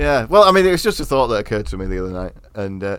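In an East Midlands accent, a man speaks at a medium pitch with very wide pitch swings. The recording is very clean, with a silent background. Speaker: podcast host. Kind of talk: casual banter about history. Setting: eating while recording.

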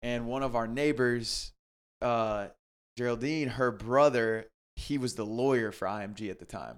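A man with an American accent uses an ordinary speaking voice at a medium pitch and a moderate pace, his intonation fairly even. His loudness swings widely, on a very clean recording with a silent background. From South Carolina, Greenville. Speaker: video producer. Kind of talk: casual interview chat.

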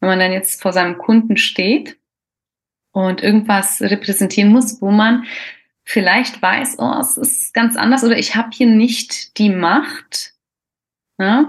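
Somewhat breathy and fairly high-pitched, a woman talks very slowly with long, frequent pauses. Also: ordinary pitch variation. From Croatian roots. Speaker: podcast host. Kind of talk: casual interview.

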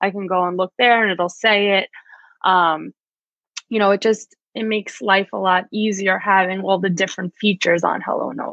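A woman talks in a New York accent at medium pitch and a moderate pace. Her intonation stays fairly even. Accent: New York American. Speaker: physical therapist, rehab director. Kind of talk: interview.

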